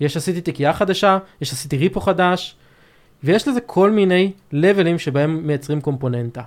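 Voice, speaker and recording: Over a silent background in a very clean recording, a man speaks at a moderate pace with a high pitch and lively intonation. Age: 30s. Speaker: software development manager. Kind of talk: technical interview. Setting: studio.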